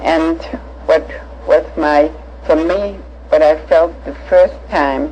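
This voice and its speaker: Long pauses come often in very slow speech. Noticeable background noise is audible throughout. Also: woman. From Germany (Hanover, Nuremberg). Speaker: Holocaust-era survivor recounting life. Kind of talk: personal life story testimony. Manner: halting, many fillers.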